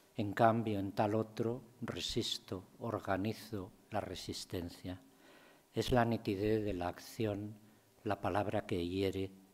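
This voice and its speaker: A man's fairly low voice at a very slow pace with fairly even intonation. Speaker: poet. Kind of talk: poetry reading, measured and reflective. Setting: university lecture room with audience. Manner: slow, contemplative, deliberate; serious, restrained, understated. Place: hall. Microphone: podium.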